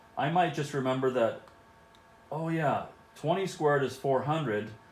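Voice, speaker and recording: You can hear audible room echo here. The speaker is a man. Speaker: math teacher. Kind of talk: video lesson for students. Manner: casual, conversational.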